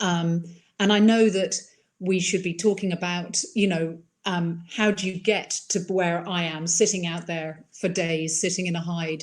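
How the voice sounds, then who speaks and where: A woman with an Irish accent talks at a fairly slow pace in a fairly low pitch, her intonation monotone and flat. The recording is very clean, with a silent background. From mixed upbringing: Iran, Ireland, England countryside. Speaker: wildlife filmmaker. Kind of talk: interview.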